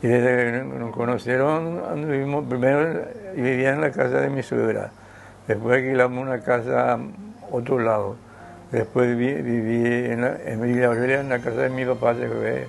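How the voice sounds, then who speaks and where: With a Paraguayan accent, a man of medium pitch talks at a moderate pace with fairly even intonation against noticeable background noise. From Paraguay, Asunción. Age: 80s+. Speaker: interviewee, elderly husband. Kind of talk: interview. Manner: halting.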